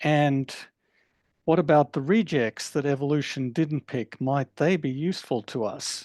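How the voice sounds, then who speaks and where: A man with an Australian accent speaks at a fairly slow pace in a fairly high pitch with ordinary pitch variation. The sound is dry and close with no echo, over a quiet background. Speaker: professor. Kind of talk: lecture.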